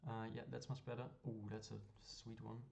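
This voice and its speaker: Somewhat breathy and dark, mellow in tone, a man speaks at a very fast pace. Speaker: gaming streamer / card game content creator. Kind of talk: gameplay commentary. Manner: casual, hesitant with fillers.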